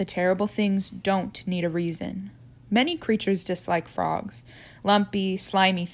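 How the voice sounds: Fairly even intonation in a natural reading voice.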